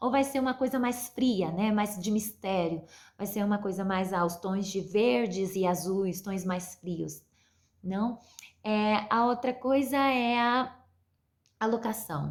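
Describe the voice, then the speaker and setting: A woman speaks at a very slow pace, her medium pitch showing ordinary variation. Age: 20s. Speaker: university film student. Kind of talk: mini-lesson for school pupils. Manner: halting, many fillers.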